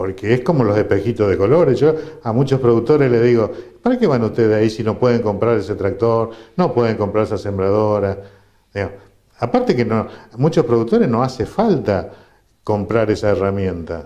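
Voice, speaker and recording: Talking at a fairly quick pace, a man has a medium pitch, a dark, mellow tone and ordinary pitch variation. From Argentina, Corrientes. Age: 60s. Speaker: agronomist. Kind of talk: interview.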